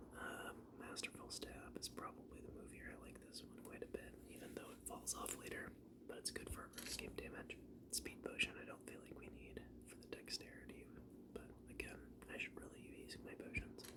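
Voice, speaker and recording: A moderately paced whisper over noticeable background noise. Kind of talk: ASMR gameplay commentary. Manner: whispered.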